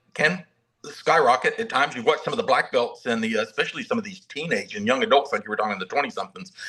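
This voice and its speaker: A man with a Southern US accent, bright and sharp in tone, his pitch swinging very widely. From US South (Mobile, Alabama). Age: 60s. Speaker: martial arts master instructor. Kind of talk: casual interview chat. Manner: halting, many repetitions.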